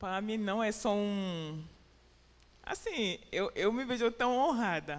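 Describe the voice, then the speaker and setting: The woman's voice sits fairly high. Its pitch moves in an ordinary way. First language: French or English (Portuguese learned in Brazil) (speaking Portuguese). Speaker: preacher. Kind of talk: sermon. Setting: church. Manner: halting.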